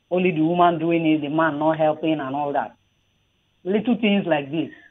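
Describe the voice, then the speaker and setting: A woman speaks at a moderate pace with a fairly low pitch. The background is quiet. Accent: Nigerian. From southern Nigeria. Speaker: radio caller, mother; radio guest. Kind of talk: radio call-in opinion. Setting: phone call. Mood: earnest, warm. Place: studio.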